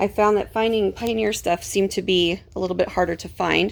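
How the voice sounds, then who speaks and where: Here is a woman with an ordinary speaking voice at a medium pitch. Her intonation stays fairly even. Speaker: homeschooling mom vlogger. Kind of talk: casual show-and-tell vlog. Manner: relaxed, filler-heavy.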